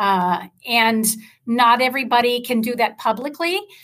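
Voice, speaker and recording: Bright, sharp tone with ordinary pitch variation at a fairly slow pace. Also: woman. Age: 50s. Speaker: leadership coach and radio studio owner. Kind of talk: interview.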